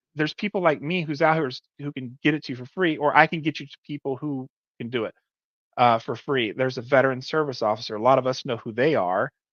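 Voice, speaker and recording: The sound is dry and close, with no echo. A man talks at a very fast pace, with big swings in loudness. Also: fairly high pitch for a man, ordinary pitch variation, quiet background. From Alabama. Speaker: military veteran and veterans benefits helper. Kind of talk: interview conversation.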